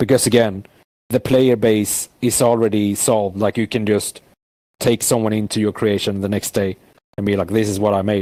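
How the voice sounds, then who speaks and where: A man with a non-native accent speaks in a fairly low pitch. His tone is dark and mellow, and his intonation is flat and monotone. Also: moderate pace. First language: not English. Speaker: VR world creator. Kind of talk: casual interview. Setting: inside a VR world. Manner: speech deteriorating from long talk.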